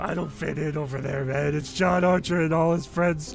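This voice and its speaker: Over clear music in the background, a man does a put-on character voice. It's pitched fairly high and delivered at a moderate pace. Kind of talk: comic overacting. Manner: jittery, rambling, paranoid.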